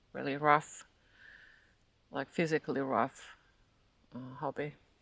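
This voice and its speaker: This voice moves at a fairly slow pace. It carries a Finnish accent. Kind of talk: casual spiritual monologue. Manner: halting.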